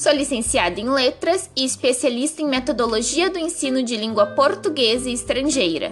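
Noticeable background noise sits behind a woman whose high voice moves with lively intonation. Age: 20s. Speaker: schoolteacher. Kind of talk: scripted narration.

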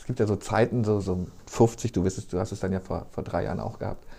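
A man's dark, mellow, somewhat breathy voice moves with fairly even intonation. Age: 50s. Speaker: podcast host, newspaper journalist. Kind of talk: casual chat.

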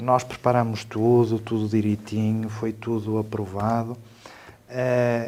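A man delivers his words very slowly, with noticeable background noise throughout. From northern Portugal (Trás-os-Montes, raised in Lamego). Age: 40s. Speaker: civil protection coordinator. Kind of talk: panel discussion. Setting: studio. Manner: halting, with many fillers and repetitions.

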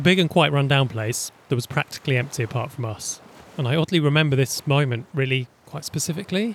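A man speaks at a very fast pace in a fairly high pitch, his voice somewhat breathy and his pitch variation ordinary. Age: 30s. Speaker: travel podcaster. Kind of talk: reading aloud travel diary.

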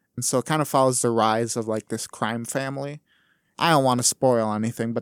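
This man speaks at a fairly quick pace and medium pitch in a monotone, flat intonation. The recording is very clean and dry, close with no echo, over a silent background. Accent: American. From Wisconsin, Wausau. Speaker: college student, speech competitor and stand-up comedian. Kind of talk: casual chat.

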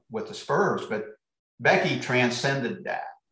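The speaker has a Midwestern US accent. The pace is fairly slow. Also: man. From US Midwest. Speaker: basketball coach. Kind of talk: casual interview chat.

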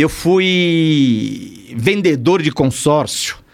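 Over noticeable background noise, a man with a fairly high voice speaks with very wide pitch swings. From São Paulo, East Zone (Bahian family). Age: 60s. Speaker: criminal lawyer and pastor. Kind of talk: casual chat. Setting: studio.

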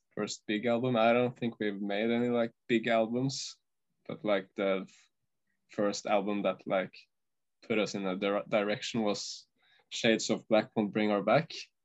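With a Norwegian accent, a man speaks at a moderate pace with fairly even intonation and long, frequent pauses. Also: fairly low pitch for a man. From Norway. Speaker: metal band guitarist. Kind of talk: interview. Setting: video call. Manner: halting.

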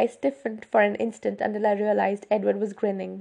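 A passage given in plain reading aloud.

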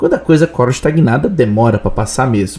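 A man speaks over noticeable background noise. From southern Brazil, Blumenau (Santa Catarina). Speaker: journalist and podcast host. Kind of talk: scripted opinion commentary.

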